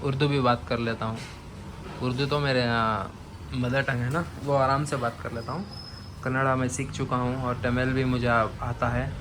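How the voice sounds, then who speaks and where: A man with a non-native accent speaks at a moderate pace in a medium-pitched voice. His intonation stays fairly even, and the room adds an audible echo. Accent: non-native Hindi, weak. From Bangalore, Karnataka, India. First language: Urdu (speaking Hindi). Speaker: aquarium vlogger. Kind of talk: casual vlog.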